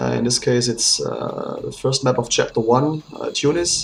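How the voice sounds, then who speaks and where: The man talks with a non-native accent. He keeps to a fairly slow pace. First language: not English. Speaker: game developer. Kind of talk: commented gameplay walkthrough. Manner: hesitant, many fillers.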